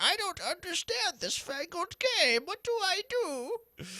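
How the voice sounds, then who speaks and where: This is a put-on character voice at an extremely high pitch. It moves along at a fairly slow pace. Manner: bewildered.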